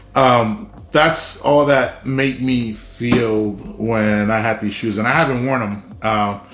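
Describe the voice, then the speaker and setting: A man at a medium pitch with a South Texas accent, very slow and fairly even in intonation, with audible room echo. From South Texas, Brownsville. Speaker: YouTuber. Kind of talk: personal story vlog. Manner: casual, many fillers.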